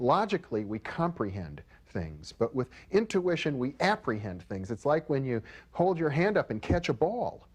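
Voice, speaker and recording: Over a quiet background, a man's fairly high voice swings very widely in pitch. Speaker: parapsychology expert. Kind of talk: interview. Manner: fast.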